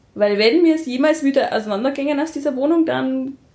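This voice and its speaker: At a fairly quick pace, a woman speaks in a high pitch over noticeable background noise. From rural Germany. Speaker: interviewee. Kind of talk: casual conversation. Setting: home.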